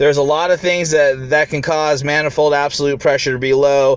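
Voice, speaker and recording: The recording is dry, with no echo. A man speaks at a moderate pace. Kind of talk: tutorial. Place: car. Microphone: phone near.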